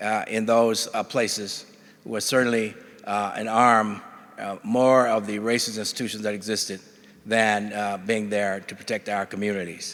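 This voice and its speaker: At a moderate pace, this voice speaks with an Alabama accent and flat, monotone intonation. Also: man. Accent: Southern US (Alabama). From US South, Alabama (Bessemer, near Birmingham). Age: 70s. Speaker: judge. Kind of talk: conference keynote speech. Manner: halting, many filler words.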